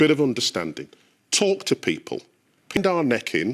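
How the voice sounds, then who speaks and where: In a British accent, a man speaks at a moderate pace, the sound dry and close with no echo. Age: 60s. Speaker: panellist. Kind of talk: heated debate. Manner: animated.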